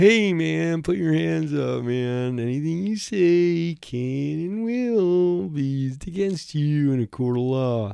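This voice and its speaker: This put-on character voice sits low to middle in pitch and moves at a fairly slow pace with hardly any pauses. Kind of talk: informal, says man. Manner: laid-back, casual.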